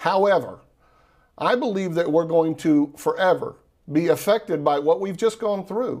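A man speaks with a Texan accent at a high pitch. His pace is moderate, with ordinary pitch variation. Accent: Texan Southern US. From Texas. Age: 40s. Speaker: entrepreneur and investor. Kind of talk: radio interview.

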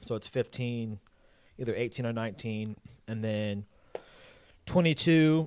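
On a very clean recording with a silent background, a man with an unremarkable speaking voice and a medium pitch talks at a moderate pace. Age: 20s. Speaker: drummer, co-host. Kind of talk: casual chat. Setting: live stream.

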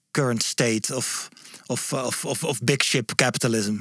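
At a very slow pace, a man speaks in a Dutch accent with a medium pitch. The sound is dry and close, with no echo. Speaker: podcast host. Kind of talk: interview. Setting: studio. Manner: halting.

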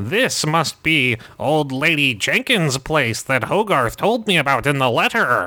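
A man in a put-on character voice talks at a fairly slow pace with a fairly high pitch and hardly any pauses. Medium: actual play. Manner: pompous.

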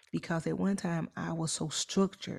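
A woman speaks at a fairly low pitch with a dark, mellow tone. Her voice is somewhat breathy, with lively intonation. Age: 40s. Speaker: podcast co-host. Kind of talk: casual chat.

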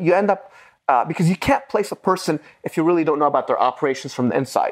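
Over a quiet background, a man speaks with an Arabic accent, high in pitch and lively in intonation. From Lebanon. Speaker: investment partner and former Marine. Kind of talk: casual interview. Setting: at a conference in Dubai. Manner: animated.

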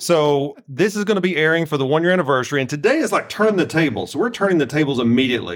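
Very fast speech in a Southern US accent, with lively intonation and hardly any pauses. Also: man, fairly high pitch for a man. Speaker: guest co-host, host's father. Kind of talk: casual chat. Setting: studio.

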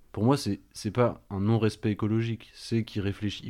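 A man talks at a fairly quick pace with a fairly low pitch and a dark, mellow tone. The recording is very clean with a silent background. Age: 20s. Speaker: vocational sales teacher. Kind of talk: radio panel discussion.

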